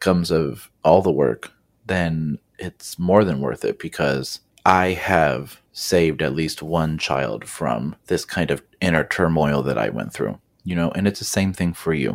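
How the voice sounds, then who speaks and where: Vocal fry runs through a man's very deep, low voice as he speaks at a fairly slow pace with ordinary pitch variation. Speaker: kindergarten teacher and podcast host. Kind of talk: solo podcast monologue. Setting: recording alone. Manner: casual, conversational.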